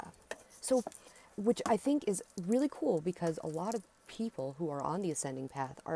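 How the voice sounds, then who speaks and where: A woman's fairly low voice in an American accent, with lively intonation at a moderate pace, in a dry, close sound with no echo. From US Southwest. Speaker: spiritual teacher. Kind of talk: monologue to camera. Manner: loud.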